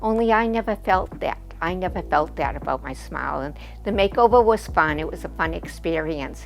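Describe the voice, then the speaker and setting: Music runs in the background as a woman talks. She has an American accent and a fairly quick pace. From Boston area, Massachusetts. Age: 70s. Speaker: orthodontic patient. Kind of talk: testimonial interview. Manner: hesitant, many fillers.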